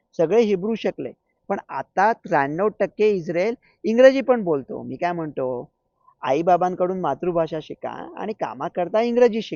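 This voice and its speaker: Here a man speaks at a high pitch with lively intonation. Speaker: doctor and commentator. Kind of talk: comic monologue. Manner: animated.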